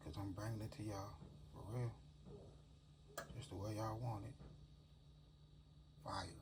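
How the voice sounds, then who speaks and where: With audible room echo, a man in a relaxed tone talks at a moderate pace and fairly low pitch, using ordinary pitch variation and long, frequent pauses. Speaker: home cooking channel host. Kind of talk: cooking tutorial. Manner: casual, relaxed.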